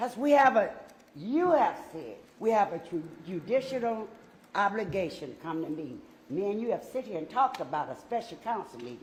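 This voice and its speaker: A woman of medium pitch speaks at a moderate pace with vocal fry, very wide pitch swings and big swings in loudness, with audible room echo. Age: 60s. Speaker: city council member. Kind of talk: statement at council meeting. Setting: council chamber. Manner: emotional.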